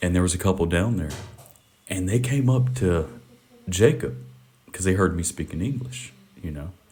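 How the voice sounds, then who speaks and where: With a Southern US accent, a man speaks in a very deep, low voice with lively intonation at a moderate pace. He takes long, frequent pauses, and background noise is noticeable. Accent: American Southern. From US South, Mississippi. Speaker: podcast host. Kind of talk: casual chat. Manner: loud.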